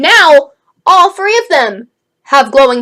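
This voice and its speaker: Projecting her raised voice, a woman speaks with very wide pitch swings. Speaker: manga reviewer. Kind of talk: casual video review. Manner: animated.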